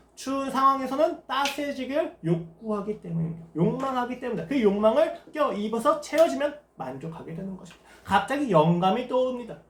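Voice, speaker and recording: Speaking at a fairly quick pace, a man uses an extremely high pitch with very wide pitch swings. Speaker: pastor. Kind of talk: sermon. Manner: fast.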